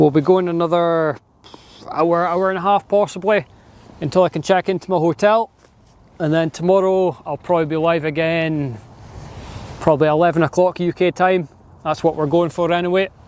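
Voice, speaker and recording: With a northeast Scottish accent, a man with a high pitch speaks at a moderate pace, his intonation fairly even, with long, frequent pauses and a dry, close sound with no echo. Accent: Scottish (north-east). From Scotland, Aberdeen. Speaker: live streamer, plane spotter. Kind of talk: live stream commentary. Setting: outdoors on a hill by an airport. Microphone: wind muffler on microphone.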